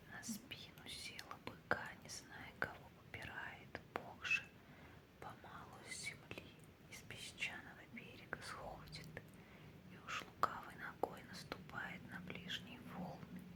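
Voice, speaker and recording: A woman whispers at a very slow pace, her loudness swinging widely, with noticeable noise in the background. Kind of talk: ASMR page-turning book talk, soft narration. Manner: whispered, soft-spoken.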